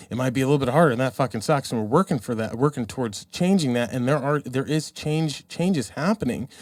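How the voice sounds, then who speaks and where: Recorded very cleanly with a silent background, a man talks at a medium pitch. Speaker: podcast guest. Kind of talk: casual chat. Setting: drinking during recording. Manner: animated.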